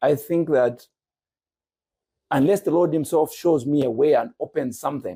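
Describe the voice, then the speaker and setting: A man speaks in a dark, mellow tone with ordinary pitch variation and very even loudness. He leaves long, frequent pauses. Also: fairly high pitch for a man, moderate pace. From Zambia, Lusaka. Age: 60s. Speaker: businessman and church teacher. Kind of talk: podcast interview.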